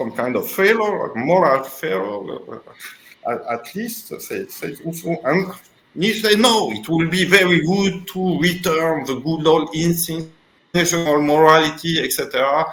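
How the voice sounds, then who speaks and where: Amid audible room echo, a man with a French accent talks fairly slowly at a high pitch with lively intonation. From Tunisia. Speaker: philosopher. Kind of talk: interview. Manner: halting.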